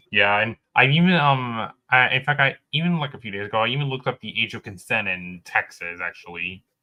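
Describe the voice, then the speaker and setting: With an unremarkable speaking voice, the speaker talks at a fairly quick pace with lively intonation and big swings in loudness. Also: man, medium pitch for a man. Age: young. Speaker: livestream co-host. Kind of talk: casual chat.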